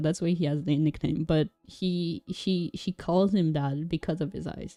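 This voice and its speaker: In a non-native accent, a woman speaks at a moderate pace with a fairly low pitch, a dark, mellow tone and fairly even intonation, the sound dry and close with no echo. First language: not English. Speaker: vtuber streamer. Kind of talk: casual livestream chat. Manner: halting.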